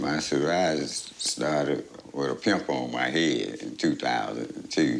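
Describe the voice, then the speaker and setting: The man's pace is fairly slow. There is noticeable background noise. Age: 60s. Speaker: patient. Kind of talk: testimony.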